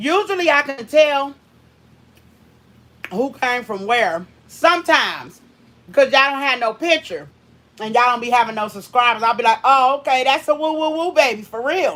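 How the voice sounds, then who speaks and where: A loud, high-pitched woman's voice with a bright, sharp tone and long, frequent pauses. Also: lively intonation, moderate pace. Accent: American. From US Northeast, Brooklyn, New York. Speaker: doll artist. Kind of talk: casual livestream chat while crafting. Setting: livestream.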